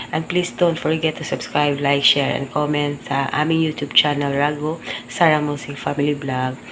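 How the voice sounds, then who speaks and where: A quiet woman's voice, very deep and low, at a moderate pace amid noticeable background noise. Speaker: family vlogger. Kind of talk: casual vlog. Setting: at home, early morning. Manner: quiet, keeping voice low.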